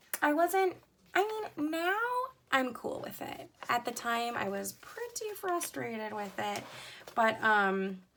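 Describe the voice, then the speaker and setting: A woman's pitch swings very widely while noticeable noise runs in the background. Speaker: coloring hobby youtuber. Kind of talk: casual show-and-tell vlog. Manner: hesitant, many fillers.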